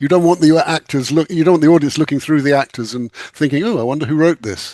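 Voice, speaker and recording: A man with an English accent, fairly high in pitch with ordinary pitch variation, dark and mellow in tone, at a very fast pace, in a dry, close sound with no echo. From England. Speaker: author and screenwriter. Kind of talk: casual chat.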